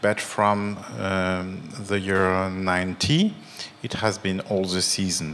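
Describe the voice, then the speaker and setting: A man with a French accent and a fairly low pitch, over noticeable background noise. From France. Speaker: theater director.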